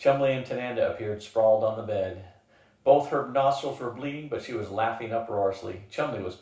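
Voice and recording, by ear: The speaker is reading aloud in a natural voice. That is all that comes through.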